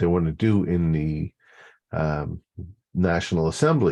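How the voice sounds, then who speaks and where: In a quiet background, a man speaks at a fairly slow pace. His tone is dark and mellow, with ordinary pitch variation. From Quebec. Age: 60s. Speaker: community advocate. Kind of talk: interview. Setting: video call. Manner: halting, many fillers and restarts.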